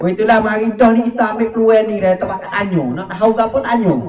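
At a moderate pace, a man speaks amid light background noise and audible room echo. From Thailand. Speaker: moderator. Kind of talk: moderated discussion. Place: hall. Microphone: handheld.

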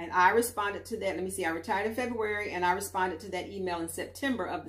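A woman talks with vocal fry and ordinary pitch variation. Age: 60s. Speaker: YouTuber. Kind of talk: vlog monologue. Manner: casual with frequent fillers. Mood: calm, reflective. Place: home room. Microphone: camera far.

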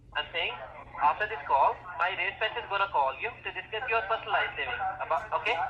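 Through noticeable background noise, a high-pitched man talks at a fairly quick pace. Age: 20s. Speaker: telemarketer. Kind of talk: sales pitch. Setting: phone call. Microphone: phone line.

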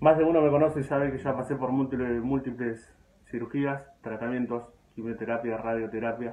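Speaking at a moderate pace, a man of medium pitch keeps a monotone, flat intonation. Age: 20s. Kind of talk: personal appeal video to followers.

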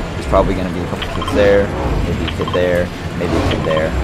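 A man is speaking. Music plays in the background. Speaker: gaming streamer. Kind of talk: gameplay commentary tutorial. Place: home room.

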